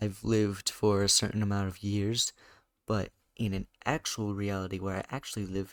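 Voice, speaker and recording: A quiet man speaks at a moderate pace in a fairly low, flat monotone. The sound is dry and close with no echo, on a very clean recording with a silent background. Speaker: YouTuber podcast host. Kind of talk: casual solo monologue. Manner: halting.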